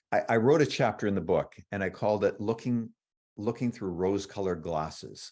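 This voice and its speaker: A man talks at a moderate pace in an ordinary speaking voice, with a fairly low pitch, ordinary pitch variation and a quiet background. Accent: Canadian. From Canada. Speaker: author. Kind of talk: interview. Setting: livestream.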